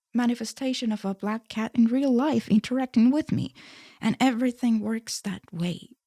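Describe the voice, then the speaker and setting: A woman with an Estonian accent, a fairly high pitch and a dark, mellow tone at a moderate pace, on a very clean recording with a silent background and a dry, close sound with no echo. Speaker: spirituality YouTuber. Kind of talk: casual monologue. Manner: soft-spoken.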